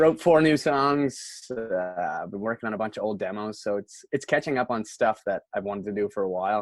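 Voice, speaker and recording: With a Nova Scotian accent, a man speaks at a fairly low pitch and a fairly quick pace. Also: ordinary pitch variation, dry, close sound with no echo. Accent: Nova Scotian Canadian English. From Canada, Nova Scotia (Antigonish County). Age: 20s. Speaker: musician. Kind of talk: casual chat. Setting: socially distanced sit-down interview.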